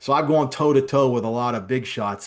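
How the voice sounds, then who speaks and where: With a quiet background behind him, a man speaks in an unremarkable speaking voice at a medium pitch. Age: 50s. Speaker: business executive. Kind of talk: interview.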